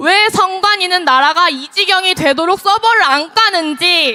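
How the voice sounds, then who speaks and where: Lively intonation and an extremely high pitch mark this woman's raised, projected voice. She goes at a fairly slow pace against noticeable background noise. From Gyeonggi Province, South Korea. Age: 20s. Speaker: rally speaker. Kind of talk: political rally speech. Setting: outdoors.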